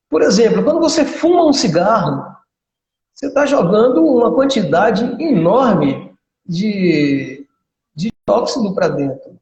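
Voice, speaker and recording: A man talks at a fairly slow pace in a high voice with very wide pitch swings. The room echo is audible. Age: 60s. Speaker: physical education professional and karate instructor. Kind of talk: casual interview chat.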